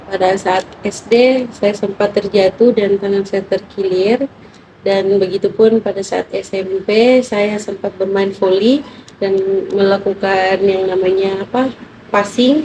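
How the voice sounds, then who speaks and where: A woman's very slow, fairly even-toned speech at a medium pitch, with noticeable background noise. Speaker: interviewee. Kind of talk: clinical interview. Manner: halting.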